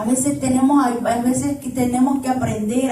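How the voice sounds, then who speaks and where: A woman speaks loudly at a moderate pace, her pitch high. Noticeable background noise and audible room echo fill the recording. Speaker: preacher. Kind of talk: sermon.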